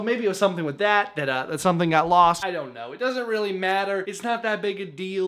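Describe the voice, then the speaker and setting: A man speaks in a raised, projected voice with very wide pitch swings. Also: quiet background. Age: 20s. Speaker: youth pastor. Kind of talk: casual vlog talk to camera.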